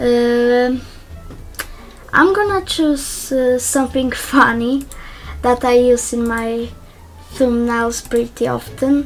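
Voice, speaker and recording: A woman speaks in a Polish accent with a high pitch. Music sounds in the background. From Poland. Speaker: YouTuber. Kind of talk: tutorial. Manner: hesitant, many fillers.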